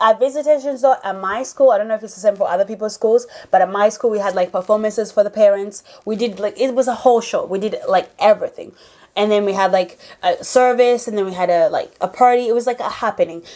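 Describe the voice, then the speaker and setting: Very fast in pace, a woman speaks at a fairly high pitch with ordinary pitch variation. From Uganda. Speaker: YouTuber. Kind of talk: storytelling vlog. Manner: casual, filler-heavy (like, um).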